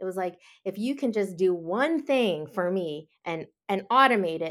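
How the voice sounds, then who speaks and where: A woman with an unremarkable speaking voice, medium in pitch, with lively intonation. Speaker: security content executive. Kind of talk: interview and panel recap.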